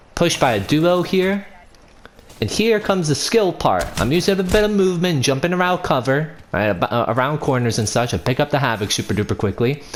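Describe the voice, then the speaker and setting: Noticeable background noise sits behind a man whose fairly high voice swings very widely in pitch while his loudness stays very even at a fairly quick pace. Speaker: gaming video creator. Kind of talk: gameplay commentary tutorial. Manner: stumbling, self-correcting; casual, conversational.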